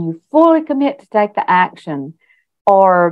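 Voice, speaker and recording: A woman with a Southern US accent speaks at a very slow pace, her pitch swinging very widely. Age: 60s. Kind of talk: interview answer.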